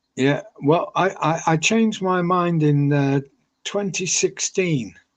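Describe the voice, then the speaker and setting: The speech moves at a very slow pace with ordinary pitch variation and very even loudness. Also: man, high pitch for a man. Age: 70s. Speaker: retired hotel general manager. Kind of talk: interview. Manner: halting, repeats words.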